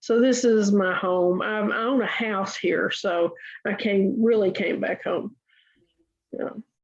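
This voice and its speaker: The speaker has a Tennessee accent and ordinary pitch variation. The pace is fairly slow. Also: woman, fairly high pitch for a woman. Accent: Southern US (Tennessee). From US South, Chattanooga, Tennessee. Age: 70s. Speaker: writer and massage therapy teacher. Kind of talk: interview. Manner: hesitant, with many fillers.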